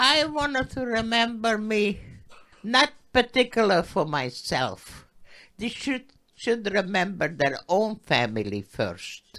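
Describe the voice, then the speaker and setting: A woman speaks very slowly in a bright, sharp tone, her pitch fairly high with very wide swings and some vocal fry. The recording is very clean, with a silent background. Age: 80s+. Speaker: Holocaust survivor. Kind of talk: interview answer.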